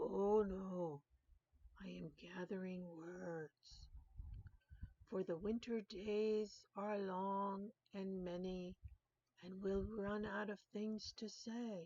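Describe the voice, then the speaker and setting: A woman's put-on character voice at a very slow pace, with long, frequent pauses. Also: medium pitch for a woman. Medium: read story. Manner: gentle, unhurried.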